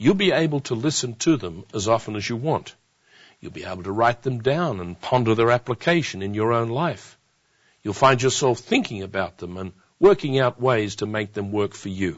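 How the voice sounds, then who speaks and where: With lively intonation and big swings in loudness, a man with a normal speaking voice and medium pitch speaks at a moderate pace. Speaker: televangelist-style presenter. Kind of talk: infomercial-style sales pitch. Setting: television studio program. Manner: urgent, persuasive, earnest; direct, encouraging, repeating key points.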